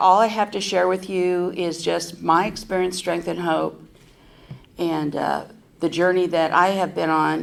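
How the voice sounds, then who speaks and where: A woman with an American accent speaks at a moderate pace in a medium pitch. Audible room echo surrounds her voice. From US West Coast, San Francisco Bay Area. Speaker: recovery convention speaker. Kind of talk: recovery testimony. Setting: stage at a podium with audience. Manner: conversational with many fillers.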